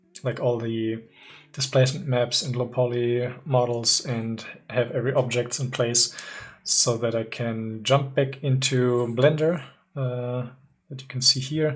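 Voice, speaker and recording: A fairly slow delivery in a German accent. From Germany. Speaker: 3D artist streamer. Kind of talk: live stream tutorial chat. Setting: live stream. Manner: hesitant, many fillers.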